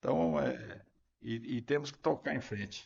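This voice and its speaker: A man speaks with lively intonation. His voice has vocal fry. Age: 70s. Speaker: former mayor. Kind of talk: interview.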